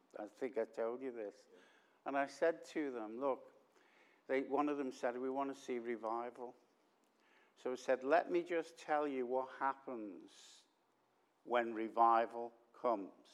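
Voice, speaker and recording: A man with a Liverpool accent speaks at a fairly slow pace and a medium pitch, with ordinary pitch variation and long, frequent pauses. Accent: Liverpool (Scouse). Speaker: visiting preacher. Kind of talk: sermon. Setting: church with congregation. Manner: loud; drops voice at times.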